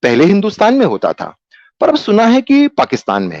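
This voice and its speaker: The sound is dry and close, without any echo. It carries a man's voice. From Kolkata, India. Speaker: theatre actor. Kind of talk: dramatised story reading.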